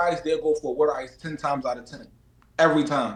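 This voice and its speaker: A man with a Philadelphia accent at a fairly quick pace, amid noticeable background noise and audible room echo. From Philadelphia, US. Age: 20s. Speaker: boxer. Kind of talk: casual chat. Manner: animated.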